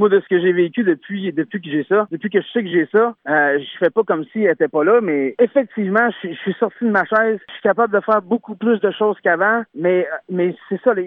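A man's high voice at a fairly quick pace, with ordinary pitch variation and big swings in loudness. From Quebec, Beauce. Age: 20s. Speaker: singer-songwriter. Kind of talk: radio interview.

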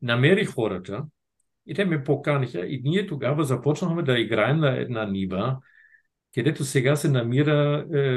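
A man with a German accent, somewhat breathy and fairly high-pitched, with lively intonation at a moderate pace. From northern Germany. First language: German (speaking Bulgarian). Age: 60s. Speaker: retired diplomat and field hockey federation president. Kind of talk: casual interview. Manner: halting.

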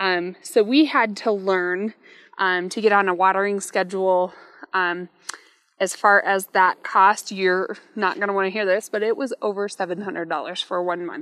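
In a plain, everyday voice with an American accent, a woman speaks at medium pitch and a fairly slow pace, her intonation fairly even. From US small town. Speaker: realtor. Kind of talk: casual chat.

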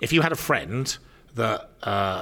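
A man's voice with vocal fry, on a very clean recording against a silent background. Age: 50s. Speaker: business speaker and consultant. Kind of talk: casual chat. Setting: live at a business expo.

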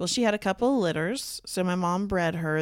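A fairly low-pitched woman's voice at a fairly quick pace. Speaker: podcast co-host. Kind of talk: casual chat. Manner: gentle, soft-spoken on mic.

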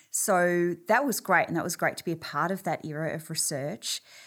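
Speaking in an Australian accent, a woman has a fairly low pitch with ordinary pitch variation at a moderate pace. The recording is very clean, with a silent background. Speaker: clinical psychology professor and researcher. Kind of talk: interview.

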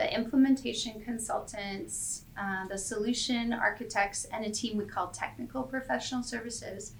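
Speaking with a Canadian accent and hardly any pauses, a woman with a fairly high pitch is heard over noticeable background noise. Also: ordinary pitch variation, moderate pace. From Canada, Calgary. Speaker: airline software services director. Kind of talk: interview.

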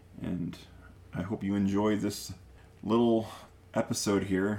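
This man has an American accent and a fairly low pitch. His tone is dark and mellow. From Chicago area, Illinois. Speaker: podcast host. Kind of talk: casual chat.

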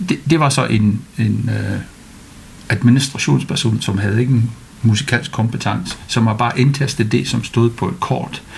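Noticeable background noise sits behind a man speaking at a fairly slow pace. His medium-pitched voice shows ordinary pitch variation. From United Kingdom. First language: English (speaking Danish). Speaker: orchestra conductor. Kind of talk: interview. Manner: hesitant, many fillers.

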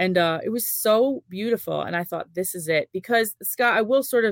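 An unremarkable speaking voice from a woman, with lively intonation at a moderate pace. The very clean recording has a silent background and a dry, close sound with no echo. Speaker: nurse and youth sports event organizer. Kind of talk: casual interview.

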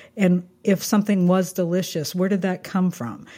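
A woman in an American accent, dark and mellow in tone, at a moderate pace. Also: very clean recording, silent background. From southern Kansas. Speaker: food writer. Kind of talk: interview.

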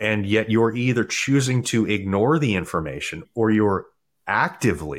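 An American accent marks this man's unremarkable speaking voice, which is fairly low in pitch. He keeps a moderate pace on a very clean recording with a silent background. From US East Coast, Maryland. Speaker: nutrition and fitness coach, former dentist. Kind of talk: casual interview chat.

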